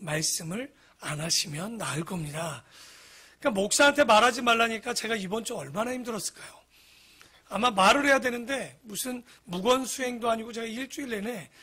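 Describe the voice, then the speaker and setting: A man's raised, projected voice at an extremely high pitch, fast-ish in pace, with lively intonation and big swings in loudness. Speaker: pastor. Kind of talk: sermon. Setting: church.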